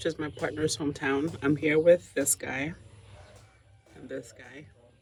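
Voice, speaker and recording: A woman's very deep, low voice with vocal fry, big swings in loudness and a fairly slow pace. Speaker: travel vlogger. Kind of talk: casual vlog narration. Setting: hotel room. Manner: hesitant with fillers.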